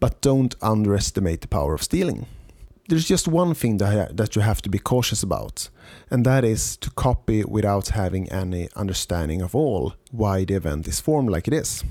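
A man with a Swedish accent speaks in a dark, mellow tone at a fairly low pitch, his pitch swinging very widely. The recording is very clean with a silent background. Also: moderate pace. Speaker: podcast host, event organizer. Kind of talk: solo podcast monologue.

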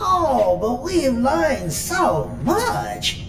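A put-on character voice. Loud noise fills the background. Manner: gleeful, mocking, sadistic.

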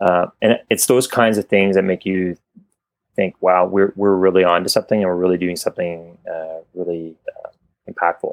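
At a moderate pace, a man with a Canadian accent speaks in a very deep, low, monotone, flat voice, the sound dry and close with no echo. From Canada. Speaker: company executive. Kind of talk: casual interview.

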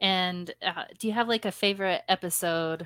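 This woman has an ordinary speaking voice, fairly low in pitch with ordinary pitch variation, recorded dry and close with no echo against a silent background in a very clean recording. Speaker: podcast host interviewer. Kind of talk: casual interview with rapid-fire questions.

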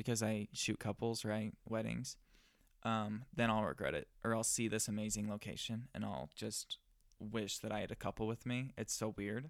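A man speaks at a moderate pace with an ordinary speaking voice and fairly low pitch. The sound is dry and close with no echo, and his pitch varies in an ordinary way. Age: young. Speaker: wedding photographer and podcast co-host. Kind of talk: casual chat. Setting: studio.

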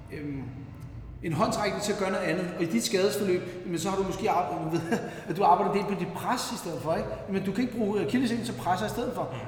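A man with a high pitch, ordinary pitch variation and a fairly quick pace, amid audible room echo and noticeable background noise. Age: 40s. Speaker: masters CrossFit athlete. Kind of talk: casual chat. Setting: gym, recorded on location.

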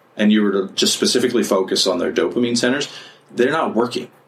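A man's medium-pitched voice comes through alongside noticeable background noise. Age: 40s. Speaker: podcast host and counselor. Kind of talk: casual chat.

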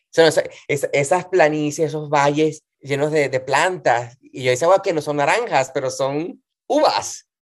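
Speaking at a fairly slow pace, a man uses a normal speaking voice with a fairly high pitch and ordinary pitch variation. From Venezuela, Valencia region (Montalbán). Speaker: singer and cabaret performer. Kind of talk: casual interview.

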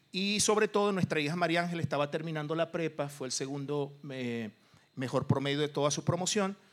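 A man's fairly high-pitched, normal speaking voice, with ordinary pitch variation and a fairly quick pace. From Venezuela. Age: 50s. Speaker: businessman. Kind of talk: interview testimony.

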